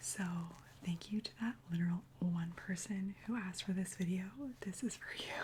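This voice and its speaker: The voice is soft-spoken and whispering at a moderate pace. Noticeable background noise runs underneath. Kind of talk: ASMR TV recap. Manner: whispered, soft-spoken; casual, chatty.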